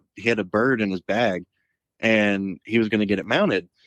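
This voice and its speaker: A man with an American accent uses a normal speaking voice at a fairly low pitch and moderate pace. The sound is dry and close, with no echo. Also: quiet background. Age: 20s. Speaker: waterfowl outfitter co-owner. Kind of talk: casual chat.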